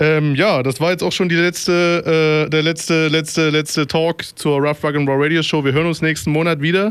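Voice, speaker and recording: Using monotone, flat intonation, a man speaks in a fairly high pitch. His pace is moderate. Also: very even loudness. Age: 30s. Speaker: radio DJ. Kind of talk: casual radio moderation. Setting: studio. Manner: hesitant with many fillers.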